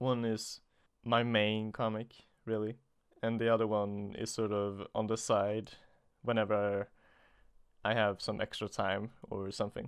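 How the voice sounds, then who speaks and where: With a Swedish accent, a man talks in a fairly low, monotone, flat voice. He goes at a fairly slow pace with long, frequent pauses. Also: very clean recording, silent background. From Sweden. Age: 20s. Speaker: comic artist. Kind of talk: solo podcast monologue. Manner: halting.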